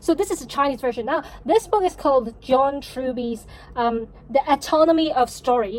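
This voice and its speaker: With a Cantonese accent, a woman speaks at a moderate pace in a high pitch with lively intonation. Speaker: novelist vlogger. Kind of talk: vlog monologue. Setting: at home.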